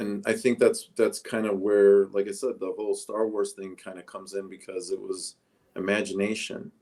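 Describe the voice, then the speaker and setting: With a Chicago accent, a man speaks with big swings in loudness. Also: moderate pace. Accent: Chicago American English. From Chicago suburbs, US. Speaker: interview guest. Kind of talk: casual interview.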